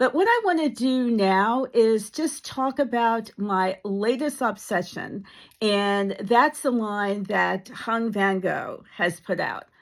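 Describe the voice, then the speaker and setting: Speaking at a very slow pace with hardly any pauses, a woman uses a fairly high pitch and ordinary pitch variation in a very clean recording with a silent background. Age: 70s. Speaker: beauty vlogger. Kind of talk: casual product review. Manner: casual, with fillers.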